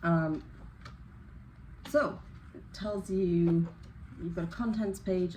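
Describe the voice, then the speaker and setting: A woman with an English accent speaks at a fairly low pitch and a fairly slow pace. Noticeable background noise and audible room echo are present. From northeast England, Newcastle. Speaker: crochet YouTuber. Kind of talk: casual unboxing chat.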